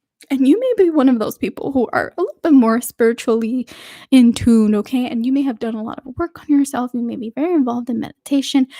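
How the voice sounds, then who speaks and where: A woman with a high pitch and a dark, mellow tone speaks at a very fast pace with ordinary pitch variation. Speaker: tarot reader. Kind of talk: tarot reading monologue. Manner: halting, repeated words and fillers.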